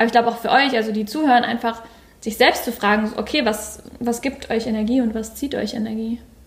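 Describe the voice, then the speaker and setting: A woman talks at a fairly quick pace in a fairly high pitch. Her intonation stays flat and monotone over noticeable background noise. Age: 20s. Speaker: coach. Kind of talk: casual chat. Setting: sitting at a table sharing one microphone.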